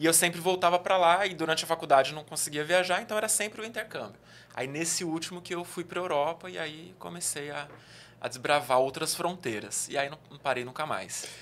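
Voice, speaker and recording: The speaker moves at a fairly quick pace with ordinary pitch variation and big swings in loudness. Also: man, fairly high pitch for a man. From interior of São Paulo state (Araraquara), Brazil. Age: 30s. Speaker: travel youtuber. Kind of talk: casual chat. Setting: studio.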